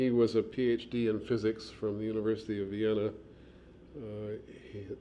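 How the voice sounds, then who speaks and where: At a fairly slow pace, a man talks at a medium pitch with a dark, mellow tone. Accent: Midwestern. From US Midwest, Chicago. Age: 60s. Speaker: archaeologist and museum administrator. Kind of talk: oral history interview. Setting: office. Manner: halting, many fillers.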